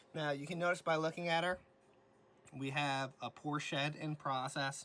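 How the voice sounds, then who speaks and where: A man's bright, sharp tone with fairly even intonation. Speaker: reptile rescue keeper. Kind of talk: tutorial. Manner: fast; casual.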